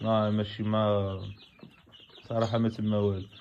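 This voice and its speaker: A man speaks at a fairly low pitch and a fairly slow pace. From Morocco, Tangier. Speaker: novice poultry farmer and forklift driver. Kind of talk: casual video vlog.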